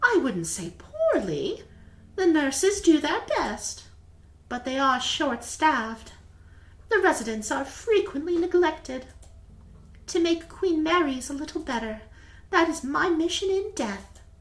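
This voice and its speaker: Using a put-on character voice at an extremely high pitch, a woman speaks at a fairly slow pace with long, frequent pauses. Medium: game stream. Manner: gentle, soft-spoken.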